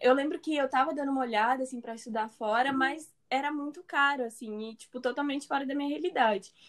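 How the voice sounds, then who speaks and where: The speaker talks with hardly any pauses and ordinary pitch variation. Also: woman. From Brazil, São Paulo. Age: 20s. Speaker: medical student. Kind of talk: casual chat.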